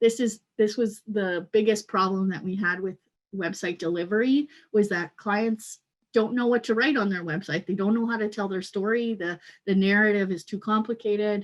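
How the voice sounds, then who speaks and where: A woman speaks in an unremarkable speaking voice with fairly even intonation. The background is quiet. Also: medium pitch for a woman, moderate pace. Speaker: content marketing manager. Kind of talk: webinar product presentation.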